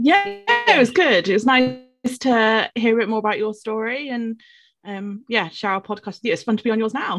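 Over music in the background, a woman talks at a fairly high pitch. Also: ordinary pitch variation, moderate pace. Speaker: school teacher. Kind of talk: casual chat.

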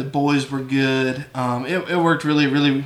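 A man with a West Texas accent and a fairly high pitch, speaking at a fairly slow pace amid audible room echo and noticeable background noise. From West Texas (San Angelo). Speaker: sheep rancher. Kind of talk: casual interview.

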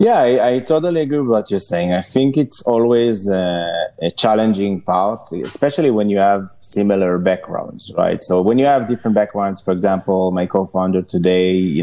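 Fairly low in pitch, this man's voice has a dark, mellow tone. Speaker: startup founder. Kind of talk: interview.

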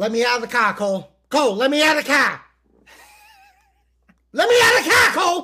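In a put-on character voice, the speaker uses a high pitch with very wide swings, moving at a fairly quick pace broken by long, frequent pauses. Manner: insistent, pleading.

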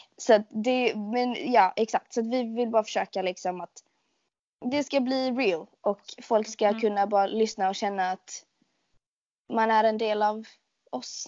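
In a plain, everyday voice, a woman speaks fairly slowly at a fairly high pitch with fairly even intonation. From Sweden, Skåne. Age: 20s. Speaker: podcast host, shop worker. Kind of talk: casual chat.

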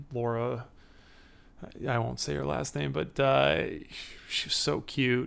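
A man with an American accent speaks at a very slow pace. His pitch swings very widely, and he makes long, frequent pauses. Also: medium pitch for a man. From Chicago, Illinois. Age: 30s. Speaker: interviewee.

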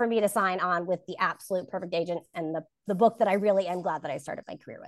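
Recorded dry and close with no echo, a woman speaks with an American accent. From New Jersey. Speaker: fantasy author. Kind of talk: casual chat.

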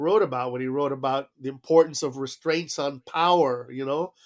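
On a very clean recording with a silent background, a man speaks at a fairly slow pace with fairly even intonation. He has a normal speaking voice. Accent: American. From South Florida, Cuban exile family. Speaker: diplomat. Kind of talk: interview.

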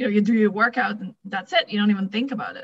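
A woman talks at a very fast pace with a Dutch accent. Her tone is bright and sharp, her pitch fairly high. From Netherlands. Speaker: fitness coach. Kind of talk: casual interview chat.

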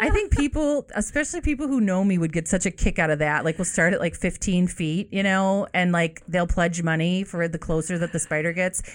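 Animated in tone, a woman talks at a fairly quick pace with lively intonation. Noticeable background noise runs underneath. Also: medium pitch for a woman, hardly any pauses. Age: 40s. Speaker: podcast host for a dog advocacy group. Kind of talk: casual chat.

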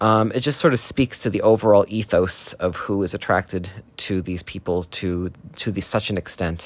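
Using a normal speaking voice, a man talks at a moderate pace and fairly low pitch with ordinary pitch variation. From New Jersey, US. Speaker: listener sending voice memo. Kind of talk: recorded voice message.

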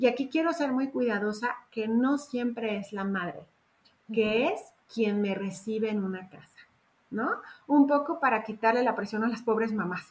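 At a moderate pace, the woman talks in a somewhat breathy, fairly high voice whose pitch varies in an ordinary way. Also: big swings in loudness. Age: 50s. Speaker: gestalt psychotherapist. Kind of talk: casual interview chat.

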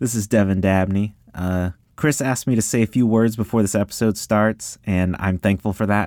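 In a very clean recording with a silent background and a dry, close sound with no echo, a man speaks with an ordinary speaking voice at a fairly low pitch. His intonation is fairly even, his loudness very even, and he leaves hardly any pauses. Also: moderate pace. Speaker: climber and rapper. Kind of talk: recorded introduction.

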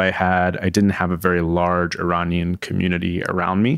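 At a moderate pace, a man with an American accent speaks in a very deep, low pitch, in a very clean recording with a silent background. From southern New Jersey, near Philadelphia. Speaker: PhD student in political science. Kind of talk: interview. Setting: studio. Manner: halting, many fillers and restarts.

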